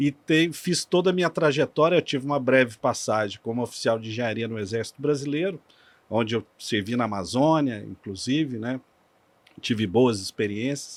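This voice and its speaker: At a moderate pace, a man with a normal speaking voice talks at medium pitch with lively intonation. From Minas Gerais, Brazil. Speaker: energy sector engineer. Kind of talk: podcast interview.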